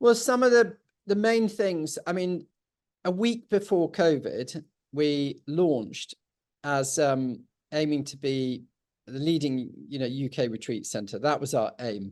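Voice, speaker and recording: A man with a fairly high pitch speaks at a fairly slow pace, his pitch swinging very widely. The background is quiet. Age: 60s. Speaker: estate owner. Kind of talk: interview conversation. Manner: halting, many fillers.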